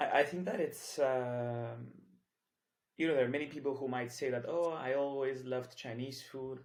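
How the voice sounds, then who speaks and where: A man speaks at a moderate pace with a medium pitch and fairly even intonation. Room echo is audible around him. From Cyprus. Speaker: entrepreneur, community founder. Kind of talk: podcast interview. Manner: hesitant, many fillers.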